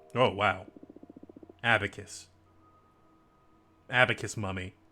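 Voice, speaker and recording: Music plays in the background as a man with a fairly low pitch speaks fairly slowly in a fairly even intonation. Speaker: gaming streamer. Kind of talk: let's play commentary.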